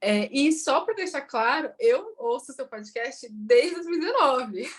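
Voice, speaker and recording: Her voice sits high and swings very widely in pitch as this woman speaks. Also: fairly slow pace. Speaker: bilingualism educator. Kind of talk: interview.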